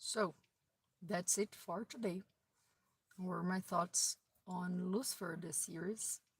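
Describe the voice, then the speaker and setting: A woman with a non-native accent speaks at a very slow pace with long, frequent pauses. Her medium-pitched voice is somewhat breathy, with fairly even intonation. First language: not English. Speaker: video blogger. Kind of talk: casual monologue. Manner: halting.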